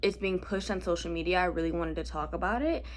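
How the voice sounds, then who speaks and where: A woman speaks loudly. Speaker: podcast host. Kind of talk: casual chat.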